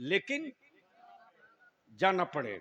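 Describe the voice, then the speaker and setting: A man shouting with lively intonation over crowd noise in the background. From India. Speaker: Islamic orator and poet. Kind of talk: religious speech to a gathering. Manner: fervent, rousing, call-and-response with audience.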